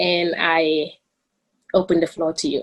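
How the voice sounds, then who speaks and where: Here a woman speaks with a Gambian accent. Her pitch is medium. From the Gambia. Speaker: student moderator. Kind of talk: formal introduction. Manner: halting.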